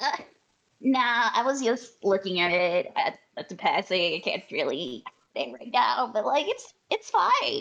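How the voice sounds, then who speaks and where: A female-sounding voice puts on a character at a high pitch. The pace is fairly slow. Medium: actual play. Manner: casual, direct.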